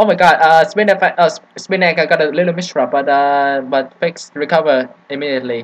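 Words come out at a fairly quick clip. Pauses are almost absent. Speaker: game commentator. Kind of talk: esports match commentary. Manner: hesitant, filler-heavy, joking.

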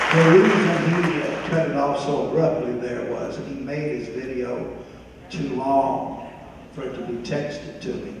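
Amid noticeable background noise and strong room echo, a man with a fairly high pitch keeps his intonation fairly even. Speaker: church senior ministry class leader. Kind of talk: church tribute presentation. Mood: warm, light-hearted. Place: church.

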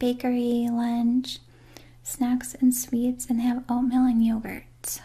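Soft-spoken and very slow, a woman talks at a high pitch. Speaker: role-play host. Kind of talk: soft personal-attention role-play chat. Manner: soft, hushed ASMR speaking voice. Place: home room.

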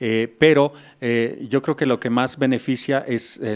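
A man talks at a fairly slow pace with fairly even intonation against a quiet background. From Mexico. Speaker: music teacher. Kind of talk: interview. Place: classroom. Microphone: handheld.

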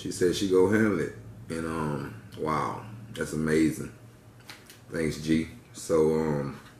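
A man with a very deep, low voice speaks very slowly. The recording has audible room echo and light background noise. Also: ordinary pitch variation. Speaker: vlogger. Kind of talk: casual vlog chat while eating. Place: home room. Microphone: phone near.

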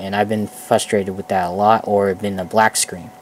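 A man speaks quietly in a fairly low pitch. Noticeable background noise sits behind him. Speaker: gaming tutorial video creator. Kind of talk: tutorial. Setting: headset mic at a computer. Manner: rambling, casual.

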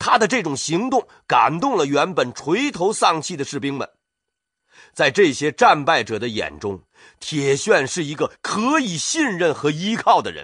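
His pitch high, a man speaks in an animated tone at a fairly slow pace with very wide pitch swings, over a quiet background. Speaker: audiobook narrator. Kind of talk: audiobook narration of history book. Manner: animated, storytelling with character voices.

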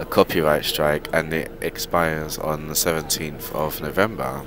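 The sound is dry, with no echo. Music plays in the background. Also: man. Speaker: vlogger. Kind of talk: casual vlog chat. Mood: annoyed, complaining. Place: bus. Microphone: earbuds.

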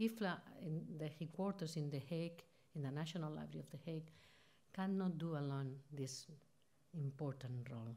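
A woman with a Spanish accent has a very deep, low pitch and a dark, mellow tone. She talks at a moderate pace with ordinary pitch variation. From Spain, Barcelona; Catalonia, Spain. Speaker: library organisation president. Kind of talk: conference speech. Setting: stage with audience. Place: hall. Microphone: podium.

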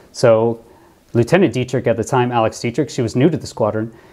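This man's tone is dark and mellow. His pace is fairly quick. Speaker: former pilot commentator. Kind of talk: commentary.

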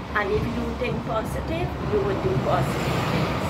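Loud background noise fills the clip. A woman talks at a fairly slow pace. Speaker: interviewee. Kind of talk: interview answer. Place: shop. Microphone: phone near.

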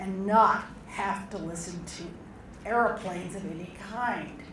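A woman speaks at a very slow pace with ordinary pitch variation, with audible room echo and noticeable background noise. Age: 70s. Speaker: local resident commenter. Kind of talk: public comment at open house. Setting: public meeting with audience.

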